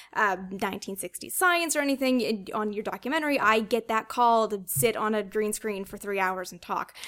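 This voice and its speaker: A woman with a Canadian accent talks at a fairly quick pace in an ordinary speaking voice, her fairly high pitch showing ordinary variation. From Canada. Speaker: author and space flight historian. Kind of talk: casual interview chat. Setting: host's home.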